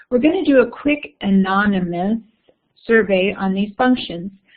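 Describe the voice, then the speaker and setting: Somewhat breathy speech moves at a fairly slow pace with ordinary pitch variation. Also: woman. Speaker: education workshop presenter. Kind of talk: online webinar presentation.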